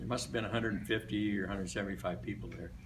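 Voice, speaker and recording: The speaker has an American accent. Audible room echo and noticeable background noise fill the recording. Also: man. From US Midwest, Des Moines, Iowa. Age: 80s+. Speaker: retired barbershop singer. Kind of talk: after-lunch speech. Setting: luncheon club meeting. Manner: casual, hesitant with fillers.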